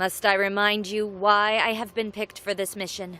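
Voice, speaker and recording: A woman uses a put-on character voice at a medium pitch with monotone, flat intonation. She keeps a moderate pace on a very clean recording with a silent background. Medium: video game. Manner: haughty.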